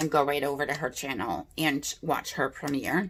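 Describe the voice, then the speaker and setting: A woman speaks at a fairly slow pace. The recording is very clean, with a silent background. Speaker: beauty youtuber. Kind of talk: casual chat. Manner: chatty.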